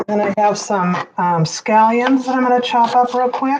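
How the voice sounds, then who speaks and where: A woman speaks at a fairly slow pace. Her pitch variation is ordinary. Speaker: cooking video host. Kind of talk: cooking demonstration. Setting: community room livestream. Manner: animated.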